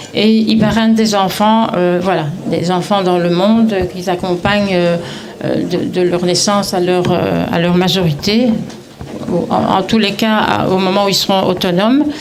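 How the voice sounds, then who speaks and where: Speaking at a fairly slow pace and medium pitch with a Belgian accent, a woman keeps her loudness very even, with audible room echo and noticeable background noise. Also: fairly even intonation. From Belgium, Brussels. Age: 70s. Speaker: retiree, network marketing seller. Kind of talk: testimony at community event. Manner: halting, many hesitations.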